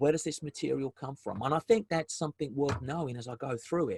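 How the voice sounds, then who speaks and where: Fairly quick and somewhat breathy, a man with a South African accent speaks at a fairly high pitch with ordinary pitch variation, the sound dry and close with no echo. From South Africa, Durban. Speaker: business development consultant, webinar presenter. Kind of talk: webinar presentation. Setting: video call webinar. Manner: hesitant, many fillers and repetitions.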